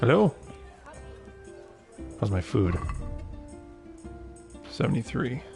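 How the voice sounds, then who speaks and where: Music plays behind a man speaking at a fairly low pitch and a fairly slow pace. His pitch swings very widely, with long, frequent pauses. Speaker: gaming streamer. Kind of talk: casual livestream talk to camera. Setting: living room livestream. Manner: soft-spoken, dry humor.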